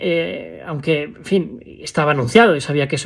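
Against a quiet background, a man with a fairly high pitch speaks at a moderate pace with ordinary pitch variation. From Spain. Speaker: vlogger. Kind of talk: personal vlog monologue. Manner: halting, many fillers. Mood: reflective, somber at times. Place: home room. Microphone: phone near.

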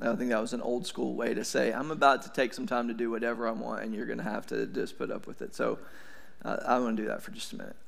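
Here a man speaks with an East Tennessee accent. He talks at a very fast pace. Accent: US South (East Tennessee). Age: 40s. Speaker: pastor. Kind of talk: sermon. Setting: church. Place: church. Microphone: headset.

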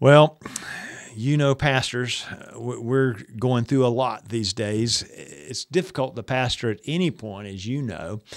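Against a quiet background, a man speaks at a very slow pace with lively intonation. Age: 80s+. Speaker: retired seminary professor and pastor. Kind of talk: interview answer giving pastoral advice. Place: studio.

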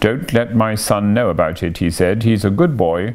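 Someone is reading aloud in a natural voice. Pitch varies in an ordinary way.

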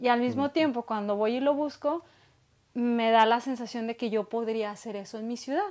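A woman with a fairly high pitch speaks with ordinary pitch variation. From Mexico, Guadalajara, Jalisco. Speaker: small business owner; guest. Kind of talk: interview conversation. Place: home room.

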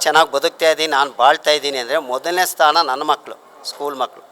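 There is noticeable background noise. A man speaks at a fairly high pitch. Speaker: retiring school headmaster. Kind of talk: farewell speech.

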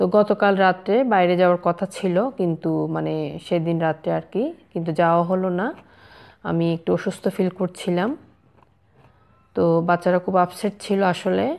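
A woman speaks in a plain, everyday voice, pitched fairly low for a woman, with fairly even intonation. The background is quiet. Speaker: home vlogger. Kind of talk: casual vlog chat. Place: garden. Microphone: phone near.

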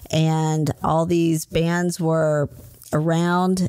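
With an American accent, this is a plain, everyday voice with fairly even intonation. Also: woman. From US South, Huntsville, Alabama. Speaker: photographer and recovery coach. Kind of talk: casual interview. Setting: photography studio.

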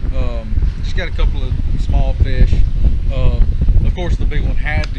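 A man at a fairly slow pace, with loud background noise. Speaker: fishing vlogger. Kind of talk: casual vlog chat. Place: waterside.

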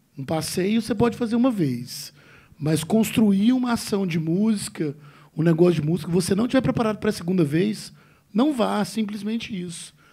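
Against a quiet background, a man speaks at a very fast pace. His pitch is high and his tone dark and mellow. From Brazil. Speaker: panel moderator. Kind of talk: panel discussion. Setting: stage with audience. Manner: casual. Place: hall. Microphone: handheld.

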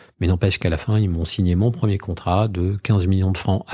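Very deep and low, a man's somewhat breathy voice moves at a fairly quick pace with fairly even intonation. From Normandy, France (Trouville). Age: 40s. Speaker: media group founder and executive. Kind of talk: interview.

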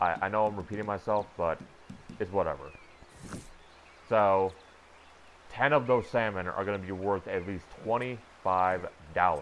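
Man at a moderate pace with fairly low pitch, ordinary pitch variation and long, frequent pauses. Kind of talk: gaming tutorial voiceover. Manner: somber, low-energy.

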